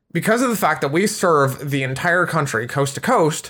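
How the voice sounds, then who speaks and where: With an American accent, a man speaks in a bright, sharp tone. His intonation is lively. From US Midwest, Chicago area. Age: 20s. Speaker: VTuber and IT support worker. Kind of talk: casual chat.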